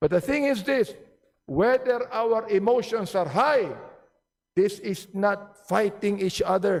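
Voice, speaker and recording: Very slow delivery with lively intonation. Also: man, high pitch for a man. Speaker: legislator. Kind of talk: parliamentary speech. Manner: loud; animated.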